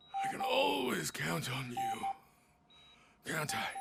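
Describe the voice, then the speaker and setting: A man does a raspy, put-on character voice at a fairly slow pace. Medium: game stream. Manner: slow, frail.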